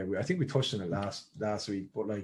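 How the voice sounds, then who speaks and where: With an Irish accent, a man talks at a fairly quick pace with ordinary pitch variation. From Ireland. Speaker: podcast host. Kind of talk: casual chat. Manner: halting.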